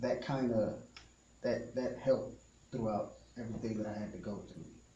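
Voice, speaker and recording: A man at a medium pitch and moderate pace, with monotone, flat intonation, big swings in loudness, long, frequent pauses and audible room echo. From Texas, Ennis near Dallas; teen years in northern Mexico border town. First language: Spanish. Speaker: musician. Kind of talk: radio interview.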